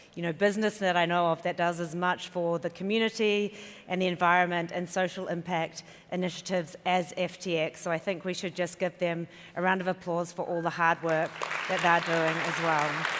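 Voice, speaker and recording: A woman speaks fairly quickly with a New Zealand accent. Her voice is fairly low-pitched, with monotone, flat intonation. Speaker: event emcee. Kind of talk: stage announcements. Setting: conference stage with audience.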